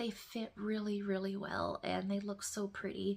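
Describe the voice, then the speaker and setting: A woman speaks quietly at a fairly slow pace. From northern Ontario, Canada. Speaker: knitting podcaster. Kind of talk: casual chat. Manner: speaking quietly.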